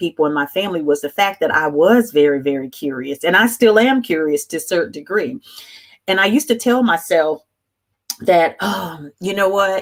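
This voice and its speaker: Lively in intonation, a woman talks at medium pitch and a fairly quick pace. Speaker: life coach. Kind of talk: live stream talk. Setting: live stream. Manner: loud; halting.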